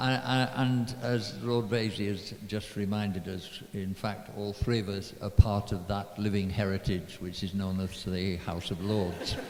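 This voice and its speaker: Speech at a fairly slow pace with fairly even intonation comes through noticeable background noise and audible room echo. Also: man, fairly low pitch for a man, hardly any pauses. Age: 80s+. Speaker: politician. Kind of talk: panel speech. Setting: stage with audience. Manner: halting.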